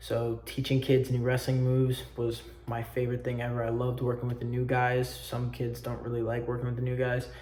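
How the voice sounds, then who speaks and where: Against noticeable background noise, a man with a medium pitch talks at a moderate pace in a monotone, flat way. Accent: American. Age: young. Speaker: student. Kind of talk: self-presentation video. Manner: loud; halting.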